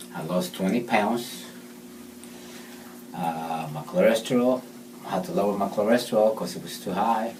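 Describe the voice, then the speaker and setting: Audible room echo and noticeable background noise around a man's fairly slow delivery. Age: 50s. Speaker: patient testimonial. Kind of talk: testimony. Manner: halting.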